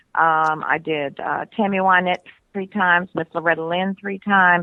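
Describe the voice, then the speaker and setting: A woman's fairly low-pitched voice at a moderate pace with fairly even intonation, an ordinary speaking voice. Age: 60s. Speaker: country singer. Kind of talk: casual chat.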